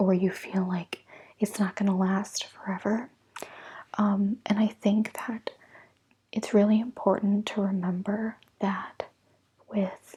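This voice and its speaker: A soft-spoken, somewhat breathy woman with an American accent and a dark, mellow tone, medium in pitch with monotone, flat intonation, at a very slow pace with long, frequent pauses, on a very clean recording with a silent background. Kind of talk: ASMR tarot reading.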